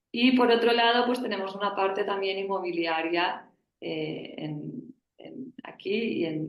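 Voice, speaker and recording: A woman with a Spanish accent, medium pitch and lively intonation, at a fairly slow pace, with audible room echo. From Spain. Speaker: family business board member. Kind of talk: panel discussion.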